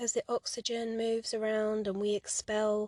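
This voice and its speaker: A woman with a fairly high pitch speaks at a fairly slow pace in a calm, soothing tone. The sound is dry and close with no echo. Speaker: guided running and mindfulness leader, psychotherapist. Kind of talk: guided meditation audio for running. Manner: calm, soothing, slow.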